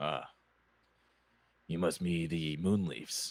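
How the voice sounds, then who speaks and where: A raspy, put-on character voice from a man, very deep and low in pitch, with fairly even intonation. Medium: actual play.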